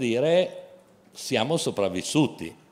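A man talks with ordinary pitch variation. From Genoa, Liguria; Liguria. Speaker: company chairman; guest. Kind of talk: panel discussion. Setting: outdoor festival stage with audience. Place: stage. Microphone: handheld.

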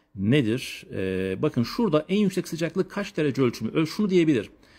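At a very fast pace, a man speaks in a dark, mellow tone. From Turkey, Elazığ; Turkey. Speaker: geography teacher. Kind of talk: lecture. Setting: live stream from family home. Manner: animated. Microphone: phone near.

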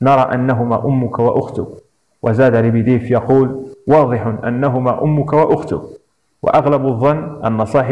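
With a quiet background, someone reads in a natural reading voice.

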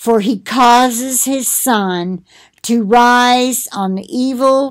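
A woman's voice with ordinary pitch variation and a quiet background. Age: 60s. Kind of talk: Bible reading with commentary. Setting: recorded at home for video. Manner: conversational, with fillers. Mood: calm, conversational. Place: home room. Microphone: webcam.

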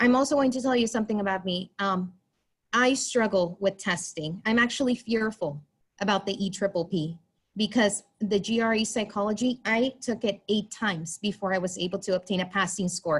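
A somewhat breathy voice at a moderate pace with ordinary pitch variation, on a very clean recording with a silent background. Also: woman, medium pitch for a woman. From US-Mexico border, Texas. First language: Spanish. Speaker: school psychologist. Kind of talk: public comment. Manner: halting.

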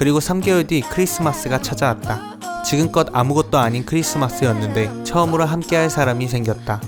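With music playing in the background, a man talks at a medium pitch and a very even loudness. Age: 20s. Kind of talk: vlog voice-over narration. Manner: calm, soothing.

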